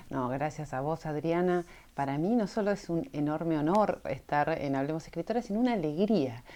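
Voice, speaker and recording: A woman's very deep, low voice with an Argentine accent, dark and mellow in tone, with lively intonation. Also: moderate pace. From northern Argentina (Misiones), born in Buenos Aires. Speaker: cultural manager and graphic designer. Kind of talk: interview conversation. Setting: in person at a university room.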